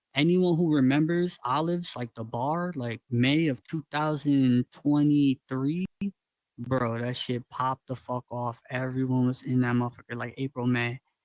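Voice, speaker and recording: A man with a plain, everyday voice speaks at a moderate pace and medium pitch. His intonation is fairly even, and the sound is dry and close with no echo. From Northwest Georgia, US. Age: 20s. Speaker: VR world builder and musician. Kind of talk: casual chat.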